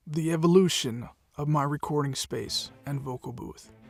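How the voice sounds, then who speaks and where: Music plays in the background. A man talks in a fairly high pitch. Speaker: voice actor and audiobook narrator. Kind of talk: casual narration over pictures. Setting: home studio.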